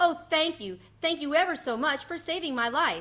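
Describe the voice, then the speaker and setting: A woman uses a put-on character voice, extremely high and squeaky. She keeps a moderate pace. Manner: grateful.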